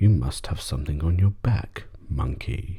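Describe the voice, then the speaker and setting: Putting on a character voice, a man talks at a moderate pace in a very deep, low pitch. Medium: read story.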